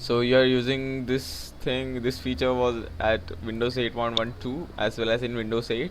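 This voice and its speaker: A man with a non-native accent speaks with fairly even intonation and hardly any pauses. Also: medium pitch for a man, moderate pace. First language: not English. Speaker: tech YouTuber. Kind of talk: tutorial. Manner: halting.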